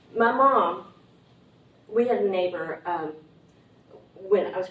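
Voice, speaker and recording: A woman speaks in an Appalachian accent. Noticeable background noise can be heard. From Appalachian Tennessee. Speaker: writer and editor, invited speaker. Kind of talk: talk to a writers' group. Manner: halting, many fillers.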